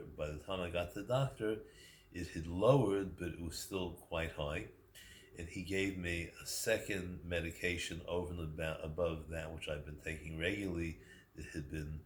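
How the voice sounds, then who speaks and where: At a moderate pace, a man speaks in a very deep, low, somewhat breathy voice with fairly even intonation. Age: 70s. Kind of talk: casual talk to camera.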